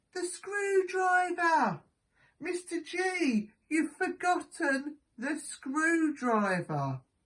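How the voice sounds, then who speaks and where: A female-sounding, put-on character voice, squeaky and extremely high-pitched, moves at a very slow pace. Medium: read story. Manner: calm, soothing.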